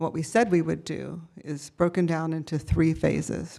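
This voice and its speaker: A woman with a fairly low pitch and a dark, mellow tone speaks at a fairly slow pace with vocal fry and fairly even intonation. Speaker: urban planning consultant. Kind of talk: presentation. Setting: city council meeting.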